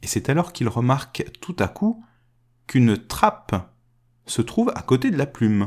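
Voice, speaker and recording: A man speaks at a medium pitch with very wide pitch swings. His voice is somewhat breathy, broken by long, frequent pauses. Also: fairly slow pace. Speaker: podcast storyteller. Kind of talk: fairy-tale narration, told aloud. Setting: recorded podcast episode.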